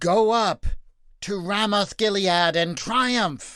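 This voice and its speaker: Against a quiet background, a man puts on a loud, high-pitched character voice, speaking at a very slow pace with ordinary pitch variation. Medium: read story. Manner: loud, theatrical.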